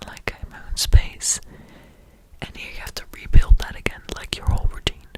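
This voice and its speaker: A woman whispers at a moderate pace in a Dutch accent, with noticeable background noise. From Netherlands. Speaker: podcaster. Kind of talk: ASMR ramble. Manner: whispering; halting.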